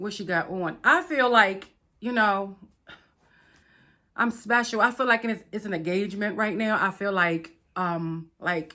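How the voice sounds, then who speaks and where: The recording is very clean with a silent background, as a woman speaks at a fairly slow pace with a medium pitch. Her tone is animated, bright and sharp, with ordinary pitch variation. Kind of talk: product review unboxing.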